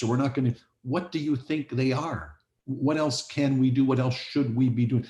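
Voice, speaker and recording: A man talks at a moderate pace in a medium pitch, his tone dark and mellow. His voice is somewhat breathy, with fairly even intonation. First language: not English. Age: old. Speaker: police board chair. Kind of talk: board meeting discussion. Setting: video call.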